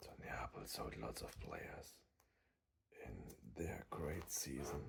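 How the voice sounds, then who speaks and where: A whisper at a very slow pace. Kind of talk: ASMR sticker pack opening commentary. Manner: soft-spoken, whispering.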